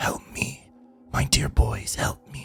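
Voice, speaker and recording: Using a put-on character voice, a man delivers his lines with a raspy edge. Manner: whispering, pleading.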